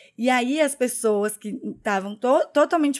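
In a very clean recording with a silent background, a woman speaks at a high pitch with lively intonation. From Curitiba, southern Brazil. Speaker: podcast co-host. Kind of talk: casual chat.

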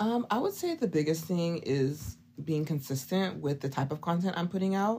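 A woman's fairly low, somewhat breathy voice with a dark, mellow tone and an American accent, lively intonation, very even loudness and a moderate pace, on a very clean recording with a silent background. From Oklahoma. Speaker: fragrance content creator. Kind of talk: casual interview chat.

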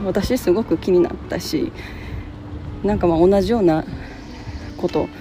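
Music plays in the background as a woman speaks. Her tone is relaxed and her pace fairly slow. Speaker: podcast host. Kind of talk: casual solo talk. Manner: relaxed, many fillers.

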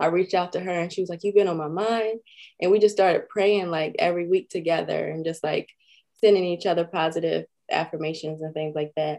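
Speaking fairly quickly in an American accent, a woman uses a fairly low pitch, a dark, mellow tone and fairly even intonation. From Maryland, US (Edgewood). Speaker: blogger and podcaster. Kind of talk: casual interview chat.

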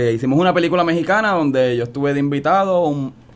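A man speaks at a fairly quick pace and fairly high pitch. He has a plain, everyday voice. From Puerto Rico, San Juan. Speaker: actor. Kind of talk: radio interview.

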